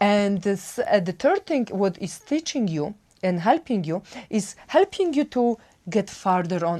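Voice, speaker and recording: Lively intonation at a fairly slow pace, in a Polish accent. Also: woman. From Poland. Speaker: wellbeing coach. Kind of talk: self-help talk. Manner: halting.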